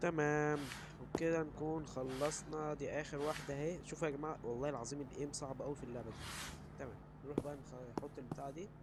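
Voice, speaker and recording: A man with an Egyptian accent speaks in an animated tone at a fairly high pitch and a fairly quick pace. His voice is somewhat breathy, with audible room echo. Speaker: gaming YouTuber. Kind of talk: gameplay commentary. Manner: casual, animated.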